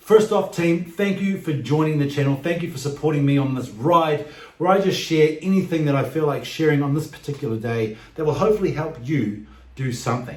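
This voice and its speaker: A man's fairly quick speech in an American accent, fairly high in pitch with ordinary pitch variation, with audible room echo and noticeable background noise. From New Zealand. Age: 40s. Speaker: vlogger. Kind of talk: vlog monologue.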